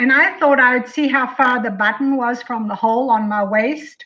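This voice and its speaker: A woman's high-pitched voice, bright and sharp in tone, at a fairly slow pace. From South Africa. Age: 60s. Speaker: client sharing weight-loss story. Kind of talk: testimony. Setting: live video stream.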